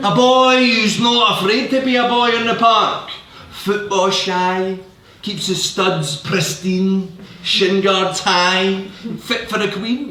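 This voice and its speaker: Over noticeable background noise, a man uses a raised, projected voice, high in pitch, at a very slow pace. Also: fairly even intonation. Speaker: poet. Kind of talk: poetry reading.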